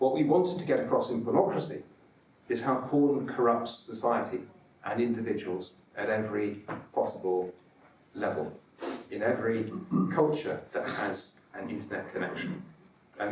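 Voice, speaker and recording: Speaking at a moderate pace with a medium pitch, a man makes very wide pitch swings and takes long, frequent pauses. Noticeable background noise and audible room echo fill the recording. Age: 40s. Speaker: author. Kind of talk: conference talk. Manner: halting, repeats syllables.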